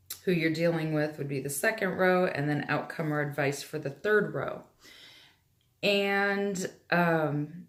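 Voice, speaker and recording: A woman speaks at a fairly low pitch with ordinary pitch variation, and the room echo is audible. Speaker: tarot reader. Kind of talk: tarot reading. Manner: casual, hesitant.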